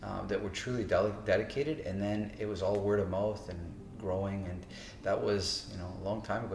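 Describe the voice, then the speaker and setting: Very fast speech in a Canadian accent, with music in the background and audible room echo. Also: man. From Toronto, Canada. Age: 50s. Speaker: martial arts instructor. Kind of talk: interview monologue. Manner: casual, with fillers.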